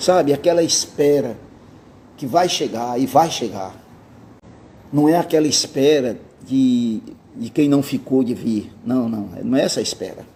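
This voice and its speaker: With long, frequent pauses, a man talks at a fairly slow pace in a fairly high pitch, a dark, mellow tone and lively intonation. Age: 60s. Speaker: pastor. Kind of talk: sermon. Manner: casual conversational.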